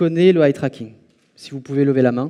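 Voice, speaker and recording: A man's dark, mellow tone shows ordinary pitch variation. He moves at a fairly slow pace. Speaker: conference speaker on eye tracking. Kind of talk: conference talk. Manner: loud; hesitant with fillers.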